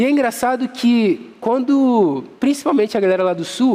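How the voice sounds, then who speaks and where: The speaker has a Rio de Janeiro accent. Pitch variation is ordinary. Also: man. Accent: carioca. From Rio de Janeiro, Brazil.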